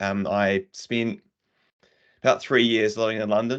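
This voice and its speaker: Against a quiet background, a man speaks at a moderate pace. His pitch is fairly low and his intonation fairly even. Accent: New Zealand. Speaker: tech community speaker. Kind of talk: casual chat.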